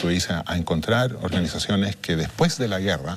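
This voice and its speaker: A man's very deep, low voice at a moderate pace. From Chile. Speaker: international mediator. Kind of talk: interview. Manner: halting.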